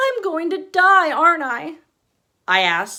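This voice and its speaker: With an American accent, a woman speaks at a fairly slow pace in a bright, sharp tone, her pitch making very wide swings. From East Texas. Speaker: author. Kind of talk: casual introduction; reading aloud.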